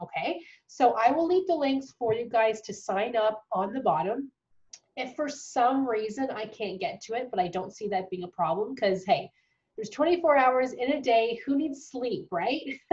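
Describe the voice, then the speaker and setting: Her pitch is high. This woman speaks with lively intonation. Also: moderate pace. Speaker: dental hygiene tutor. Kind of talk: casual talk to camera.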